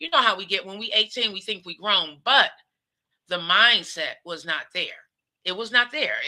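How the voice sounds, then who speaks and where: This woman sounds animated, speaking fairly high with lively intonation and an American accent. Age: 50s. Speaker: talk show host. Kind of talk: casual monologue.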